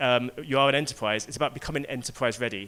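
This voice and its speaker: A man talks at a very fast pace. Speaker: tech company speaker. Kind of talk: keynote talk. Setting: stage with audience.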